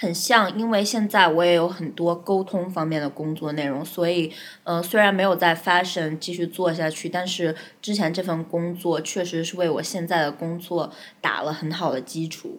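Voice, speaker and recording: At a moderate pace, a woman talks in a fairly low voice. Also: fairly even intonation. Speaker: advertising account manager. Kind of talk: interview. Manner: talkative.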